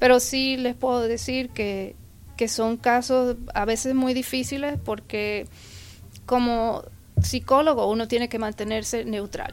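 At a fairly slow pace, a woman with an unremarkable speaking voice talks at a fairly high pitch with fairly even intonation. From Puerto Rico. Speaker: forensic psychologist. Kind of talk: interview.

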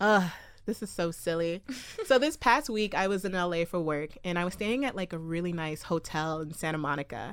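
A woman speaks in a plain, everyday voice at a fairly quick pace, her fairly low pitch moving with lively intonation, on a very clean recording with a silent background. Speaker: podcast co-host. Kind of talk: casual chat. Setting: studio. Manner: laughs often, playful.

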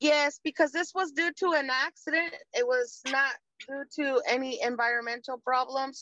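A woman speaks in a raised, projected voice at a moderate pace, high in pitch with ordinary pitch variation and a bright, sharp tone. The recording sounds dry and close with no echo. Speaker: caller. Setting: video call.

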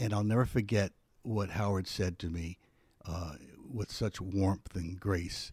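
A man with an American accent speaks at a fairly slow pace with a fairly low pitch, fairly even intonation and a somewhat breathy voice. The recording is very clean, with a silent background. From US Northeast, West Philadelphia. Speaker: retired TV weatherman, podcaster. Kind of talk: casual interview.

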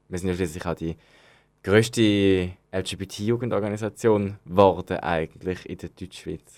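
On a very clean recording with a silent background, a man with a very deep, low pitch speaks at a fairly slow pace, his intonation fairly even but his loudness swinging widely. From Switzerland, Zürich. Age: 20s. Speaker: youth organization member. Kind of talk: interview. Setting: studio. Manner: hesitant, many fillers.

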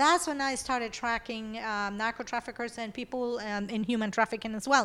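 A woman with a Spanish accent at a fairly quick pace and fairly high pitch, with hardly any pauses, ordinary pitch variation, a bright, sharp tone and a very clean recording over a silent background. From Venezuela. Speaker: IT company founder. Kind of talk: interview.

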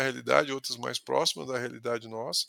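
The sound here is dry and close, without any echo. The speaker is a man. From interior of São Paulo state, Brazil (Ribeirão Preto region). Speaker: sales executive. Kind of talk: casual interview conversation. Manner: halting, with frequent word repetitions.

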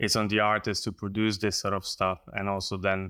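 A man with a Slovenian accent speaks at a moderate pace in a fairly low pitch, with monotone, flat intonation and a bright, sharp tone. The recording is very clean, with a silent background. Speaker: painter. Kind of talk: interview conversation. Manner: halting.

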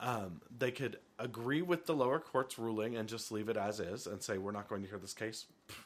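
At a fairly quick pace, a man with an American accent speaks in an unremarkable speaking voice at a medium pitch with ordinary pitch variation. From Montana (Helena). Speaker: political podcast co-host. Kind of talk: casual chat.

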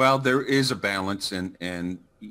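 A man speaks at a fairly slow pace with a fairly low pitch. His tone is bright and sharp, with ordinary pitch variation.

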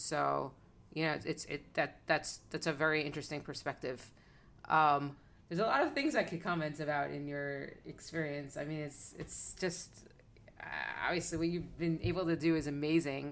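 A woman with an American accent speaks at a very deep, low pitch. Her voice has vocal fry and a moderate pace. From South Florida. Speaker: podcast host. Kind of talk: interview.

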